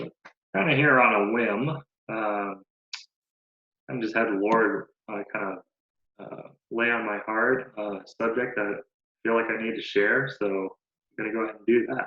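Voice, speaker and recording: A man mumbles at a medium pitch and a fairly slow pace, leaving long, frequent pauses. His loudness swings widely while his intonation stays fairly even. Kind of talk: casual talk to camera. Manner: mumbled.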